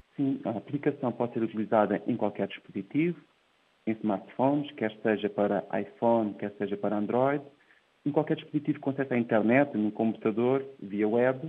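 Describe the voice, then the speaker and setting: A man's medium-pitched voice with ordinary pitch variation at a moderate pace. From Portugal, Ribatejo. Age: 30s. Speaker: tech entrepreneur. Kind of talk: interview. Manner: hesitant, with repeated words.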